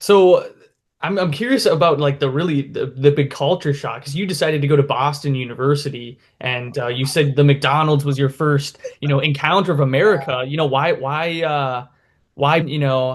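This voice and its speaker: A somewhat breathy, fairly high male voice with a Midwestern accent, fairly even in intonation, at a moderate pace. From Minnesota, US. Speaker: YouTube interviewer. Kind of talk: casual interview.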